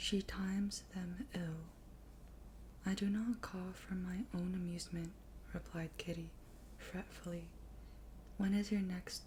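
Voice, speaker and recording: Soft-spoken, this voice moves at a very slow pace. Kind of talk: soft-spoken ASMR book reading.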